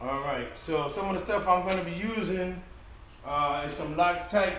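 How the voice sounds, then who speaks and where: A man talks loudly at a moderate pace with a high pitch for a man. Noticeable background noise and audible room echo fill the recording. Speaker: kayak fishing vlogger. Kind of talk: casual DIY vlog. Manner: halting, with many fillers.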